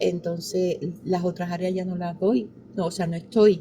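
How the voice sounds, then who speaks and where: A woman with a medium-pitched, somewhat breathy voice and a dark, mellow tone talks at a moderate pace. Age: 60s. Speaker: pastor. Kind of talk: interview.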